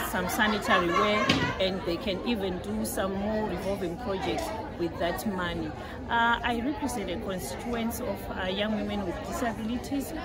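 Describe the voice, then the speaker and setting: A woman talks at a moderate pace amid loud background noise. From Zimbabwe. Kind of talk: conference interview answer. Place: hall. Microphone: phone near.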